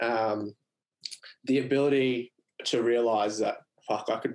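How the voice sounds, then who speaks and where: With an Australian accent, a man speaks at a fairly slow pace in a medium-pitched voice with fairly even intonation. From Queensland, Australia (Mackay). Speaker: business co-founder and former tradesman. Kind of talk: casual interview.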